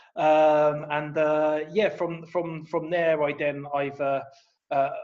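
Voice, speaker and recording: The speaker uses a southern English accent at a very slow pace. The intonation is monotone and flat. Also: man, fairly high pitch for a man. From England, Luton. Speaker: copywriter and poet. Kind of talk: podcast interview. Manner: hesitant, many fillers and repeats.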